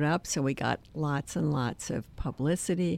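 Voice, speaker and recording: Vocal fry colors this voice. Its intonation rises and falls in a lively way. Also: woman. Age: 70s. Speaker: memoir author. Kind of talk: interview about her memoir.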